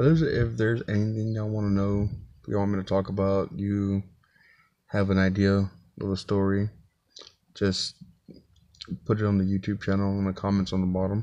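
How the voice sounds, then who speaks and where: A man talks at a moderate pace with long, frequent pauses and fairly even intonation. His voice is fairly low in pitch, with a dark, mellow tone, over a quiet background. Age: 40s. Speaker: vlogger, single father. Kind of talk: casual vlog monologue. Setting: inside his truck. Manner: casual, halting with fillers. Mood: earnest, reflective. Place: car. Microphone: phone near.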